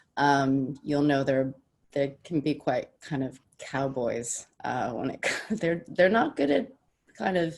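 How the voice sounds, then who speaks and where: A woman speaks with an American accent in a very deep, low pitch. Her pitch varies in an ordinary way. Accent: American-sounding. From Denmark/Sweden, childhood partly in the US. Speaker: business development director. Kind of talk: panel discussion. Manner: hesitant, many fillers.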